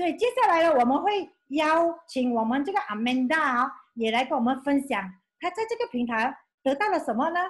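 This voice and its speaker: Her voice is high in pitch, with an animated tone and very wide pitch swings. The woman keeps a moderate pace against a quiet background. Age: 50s. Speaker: former school clerk, beauty brand representative; presenter. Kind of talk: testimony. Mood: enthusiastic, grateful. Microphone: video call.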